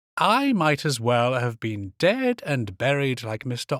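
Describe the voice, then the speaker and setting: A man at a fairly slow pace, pitch swinging very widely, the sound dry and close with no echo, a very clean recording over a silent background. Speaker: actor and voiceover artist, audiobook narrator. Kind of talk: short story reading, first-person narration.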